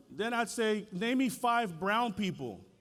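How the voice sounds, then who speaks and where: The voice is a man's. Audible echo fills the room around him. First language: Spanish. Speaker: school board chair. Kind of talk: keynote speech. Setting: stage with audience. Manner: animated.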